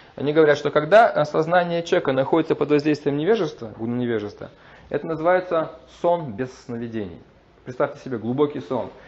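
Talking at a very fast pace, a man uses lively intonation in a fairly high pitch. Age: 40s. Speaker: lecturer on Vedic philosophy. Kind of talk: lecture. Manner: halting, frequent filler sounds.

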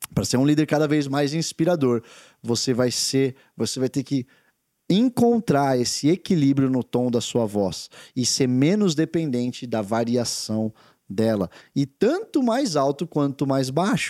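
Speaking fairly slowly with lively intonation and very even loudness, a man with a fairly high pitch sounds dry and close with no echo, while music plays in the background. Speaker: podcast host, leadership speaker. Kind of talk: motivational talk. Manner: energetic.

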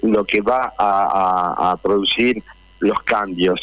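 A man with a fairly low pitch. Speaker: actor and union leader. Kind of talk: radio interview.

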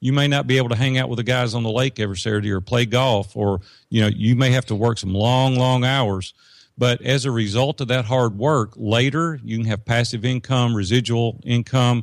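A man with a plain, everyday voice talks at a fairly quick pace and medium pitch. His intonation is fairly even, on a very clean recording with a silent background. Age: 50s. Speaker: business coach and entrepreneur. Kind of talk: interview conversation. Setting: studio.

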